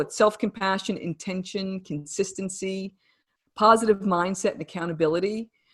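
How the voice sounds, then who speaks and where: A woman with a New Jersey accent, moderate pace, ordinary pitch variation, quiet background. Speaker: wellness coach and author. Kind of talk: interview.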